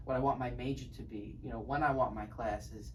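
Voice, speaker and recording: A man speaking at a fairly quick pace, with audible room echo and noticeable background noise. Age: 20s. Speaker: podcast host, college student. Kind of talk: casual interview chat.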